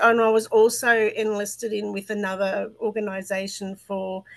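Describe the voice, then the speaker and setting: Speaking in an Australian accent at a fairly slow pace, a woman uses a fairly high, monotone voice with flat intonation. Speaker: mental health advocate. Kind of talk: interview testimony. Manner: talkative, tangential.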